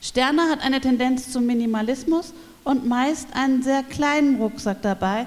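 This woman speaks at a moderate pace with a high pitch and ordinary pitch variation. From Berlin. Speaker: cultural educator. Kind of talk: reading aloud.

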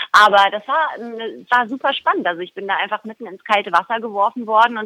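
Bright and sharp in tone, a woman speaks at a fairly quick pace. Her pitch variation is ordinary, and the sound is dry and close with no echo. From Baden, Germany (Baden-Baden). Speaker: soap opera actress. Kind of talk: interview.

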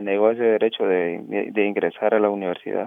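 A man talks in a Honduran accent at a moderate pace. His pitch is medium and his intonation monotone and flat. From Honduras, Choluteca. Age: 30s. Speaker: asylum seeker and student activist. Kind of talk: interview. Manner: halting.

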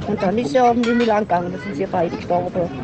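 With noticeable background noise behind her, a woman talks very fast with ordinary pitch variation. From southern Germany, Singen and Freiburg (Baden). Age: 70s. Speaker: Yenish contemporary witness. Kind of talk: interview, life story. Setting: outdoors at a festival ground. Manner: halting.

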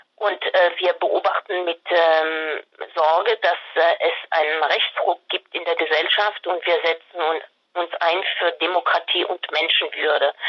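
A woman's fairly low, monotone, flat voice in a French accent, at a fairly slow pace. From France. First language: French (speaking German). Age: 60s. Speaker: candidate, retired care manager. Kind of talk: interview. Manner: hesitant, many fillers.

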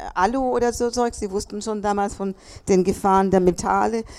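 This is an ordinary speaking voice from a woman. She keeps a moderate pace with ordinary pitch variation. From Chile. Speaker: contemporary witness. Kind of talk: panel talk. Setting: café event with audience.

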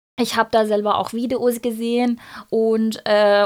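Speaking in a Persian accent, a woman talks at a fairly slow pace and fairly high pitch with monotone, flat intonation, on a very clean recording with a silent background. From Iran. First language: Persian (speaking German). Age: 30s. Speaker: activist, pharmacy trainee. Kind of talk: interview. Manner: halting, many fillers.

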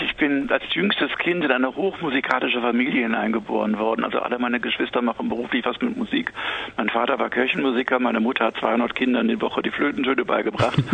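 A man's medium-pitched voice at a very fast pace, with ordinary pitch variation, very even loudness and noticeable background noise. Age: 50s. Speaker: author. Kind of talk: interview. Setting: phone call.

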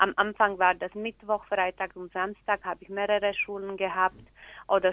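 A woman with a Slovak accent and monotone, flat intonation. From Slovakia. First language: Slovak (speaking German). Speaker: teacher and community organizer. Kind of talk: interview. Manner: halting, with fillers.

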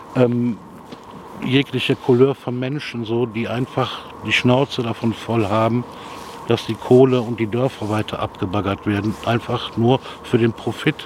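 Over a noticeable amount of background noise, a man talks with flat, monotone intonation. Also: medium pitch for a man. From Rhineland, Germany (Jülich). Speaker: local resident. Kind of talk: street interview. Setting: outdoors.

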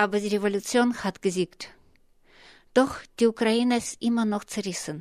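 A woman speaks at a moderate pace with long, frequent pauses and fairly even intonation on a very clean recording with a silent background. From Russia. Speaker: radio journalist. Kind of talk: scripted narration.

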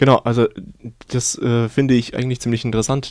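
A man's dark, mellow voice with monotone, flat intonation. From Ukraine. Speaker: radio host. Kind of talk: radio interview. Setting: radio studio.

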